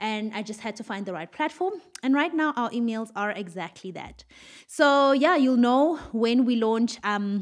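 Against a quiet background, a woman talks at a fairly quick pace with ordinary pitch variation. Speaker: podcast host. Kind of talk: casual podcast chat. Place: studio. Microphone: studio mic.

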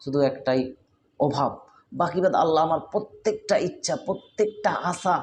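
Against light background noise, a man speaks in a high pitch with very even loudness and ordinary pitch variation. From West Bengal, India (Birbhum); West Bengal. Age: 20s. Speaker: Islamic preacher. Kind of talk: sermon. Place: shop. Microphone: phone near.

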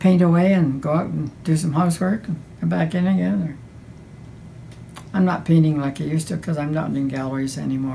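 A woman's very deep, low voice at a very fast pace over light background noise. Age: 80s+. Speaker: painter. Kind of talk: interview answer. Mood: warm, fond. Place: home room.

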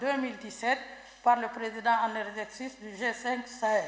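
A woman speaks high in pitch with monotone, flat intonation. Audible room echo surrounds her voice. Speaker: government minister. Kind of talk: reading an official statement. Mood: formal, measured, official. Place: hall. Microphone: podium.

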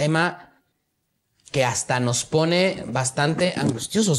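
A man's fairly high voice, fairly slow, with ordinary pitch variation. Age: 20s. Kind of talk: casual chat. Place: studio.

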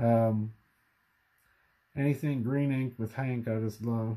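Fairly slow and fairly even in intonation, a man speaks with a dark, mellow tone. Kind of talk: casual collection show-and-tell. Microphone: phone near.

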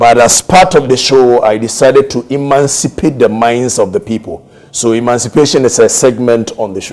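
A man speaks with a Ghanaian accent at a medium pitch. His pitch varies in an ordinary way. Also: moderate pace. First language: Twi. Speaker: radio talk show host; radio talk show host as guest. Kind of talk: interview. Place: studio. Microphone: lapel.

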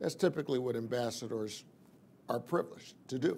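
Male voice with a dark, mellow tone and ordinary pitch variation over light background noise. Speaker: preacher. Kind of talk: sermon.

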